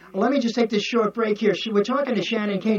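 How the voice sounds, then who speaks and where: Male speaker with an American accent, noticeable background noise behind him. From New York. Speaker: podcast host. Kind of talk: interview chat. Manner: animated.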